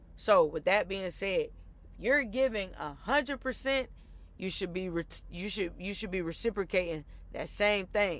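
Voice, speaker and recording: The recording is very clean with a silent background as a woman speaks at a moderate pace with ordinary pitch variation. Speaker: podcast host. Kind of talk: casual monologue rant. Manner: loud; animated, passionate.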